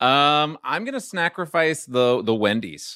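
Bright, sharp tone from a man speaking at medium pitch. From New Orleans, Louisiana. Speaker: TV comedy writer. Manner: halting, many fillers.

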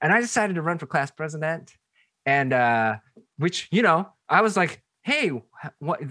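In a Boston accent, a man with a fairly high pitch speaks at a moderate pace, leaving long, frequent pauses. His tone is bright and sharp, and his intonation is lively. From Seattle, US Pacific Northwest. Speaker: pastor and author. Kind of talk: casual interview.

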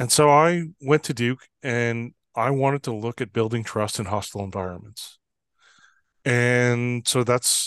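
Speaking with a Canadian accent in an ordinary speaking voice, a man keeps a medium pitch, a fairly slow pace and ordinary pitch variation, the sound dry and close with no echo against a quiet background. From Canada, Fort Saint John, British Columbia. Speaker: trust expert and consultant. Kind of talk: interview.

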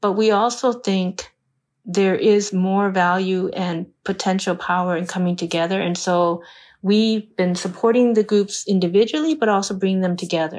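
With an American accent and an unremarkable speaking voice, a woman talks at a medium pitch and a moderate pace with fairly even intonation in a very clean recording with a silent background. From US. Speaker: philanthropy leader funding civic groups. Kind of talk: interview.

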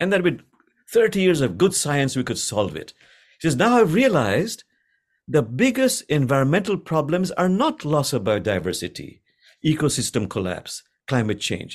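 Over a silent background on a very clean recording, a man with a fairly high pitch and vocal fry swings his pitch very widely. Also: moderate pace. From Bangladesh. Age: 70s. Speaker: imam and Sufi teacher. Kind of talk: interview conversation.

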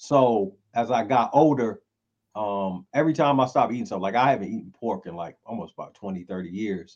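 In a North Carolina accent, a man speaks at a fairly quick pace and medium pitch, with lively intonation and big swings in loudness. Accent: Southern US, North Carolina. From Eastern North Carolina (Greenville). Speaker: rapper. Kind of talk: casual chat.

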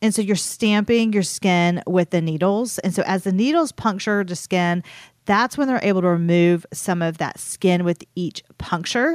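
A woman's plain, everyday voice at medium pitch and moderate pace, dry and close with no echo, on a very clean recording with a silent background. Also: ordinary pitch variation. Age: 40s. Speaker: esthetician podcast co-host. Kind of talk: casual chat. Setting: studio.

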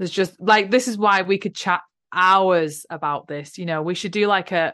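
Against a quiet background, a woman with an English accent speaks at a moderate pace, fairly low in pitch and with fairly even intonation. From UK. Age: 30s. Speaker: spiritual podcast host and teacher. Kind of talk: casual chat.

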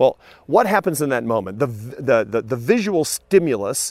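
A man with an American accent, medium pitch and an unremarkable speaking voice talks with lively intonation in a very clean recording with a silent background and a dry, close sound with no echo. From US Pacific Northwest, Seattle. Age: 50s. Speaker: professor. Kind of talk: lecture.

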